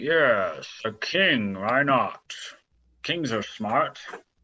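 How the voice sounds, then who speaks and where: A man in a put-on character voice, medium in pitch, at a very slow pace. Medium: actual play.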